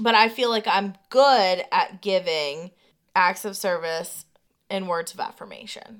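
A woman's unremarkable speaking voice with ordinary pitch variation. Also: medium pitch for a woman, fairly slow pace. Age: 30s. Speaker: podcast co-host. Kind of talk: casual chat.

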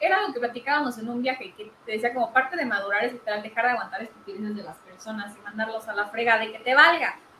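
Speaking at a very fast pace with hardly any pauses, a woman with a fairly high pitch uses ordinary pitch variation while her loudness swings widely over noticeable background noise. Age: 20s. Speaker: podcast co-host. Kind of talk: casual chat.

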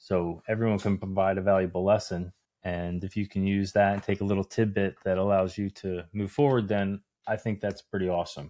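A man with an American accent speaks at a fairly low pitch in a monotone, flat intonation on a very clean recording with a silent background. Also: fairly quick pace, dry, close sound with no echo. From New Jersey. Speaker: podcast co-host. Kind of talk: casual chat.

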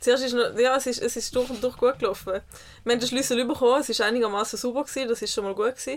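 Her pitch is high, and her intonation is fairly even. This woman speaks at a very fast pace. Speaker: podcast co-host. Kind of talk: casual chat. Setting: caravan studio.

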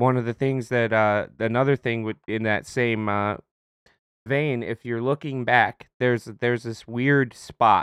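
On a dry, close recording with no echo and a quiet background, a man uses an ordinary speaking voice with fairly even intonation. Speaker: podcast co-host, retail worker. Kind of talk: casual chat.

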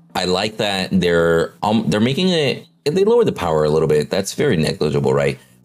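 Against noticeable background noise, a man with a fairly low voice talks at a fairly quick pace with hardly any pauses. His pitch swings very widely while his loudness stays very even. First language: not English. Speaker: gaming podcast host. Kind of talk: casual chat.

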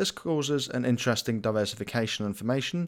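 A man speaks in an unremarkable speaking voice at a medium pitch, with lively intonation and a fairly quick pace, on a very clean recording with a silent background. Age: 20s. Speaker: finance podcast host. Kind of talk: scripted monologue. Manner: formal.

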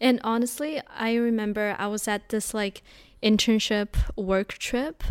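A woman with a plain, everyday voice speaks fairly slowly at a fairly high pitch. Her pitch variation is ordinary, and the recording is very clean, with a silent background. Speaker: podcast host. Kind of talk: casual chat.

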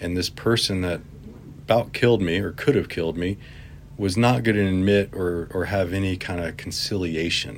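Ordinary pitch variation and a moderate pace mark this speech in an American accent. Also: man, very deep, low pitch for a man. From Virginia, semi-rural. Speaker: community bike activist. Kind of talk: interview.

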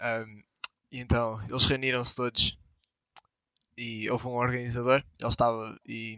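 Fairly slow and full of long, frequent pauses, a man speaks at a medium pitch with flat, monotone intonation and big swings in loudness. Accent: European Portuguese. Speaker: podcast co-host. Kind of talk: casual chat.

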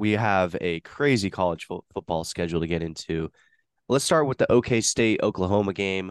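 A plain, everyday voice at a moderate pace with ordinary pitch variation, in a dry, close sound with no echo and a quiet background. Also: man. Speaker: podcast host. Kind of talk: casual sports chat.

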